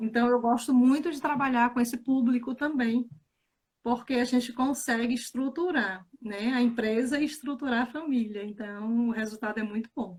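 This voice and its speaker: Speaking with a northeastern Brazilian accent, a woman uses a high pitch, fairly even intonation and a moderate pace. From Bahia, Brazil (Feira de Santana). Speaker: financial educator. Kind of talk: casual chat. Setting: live stream.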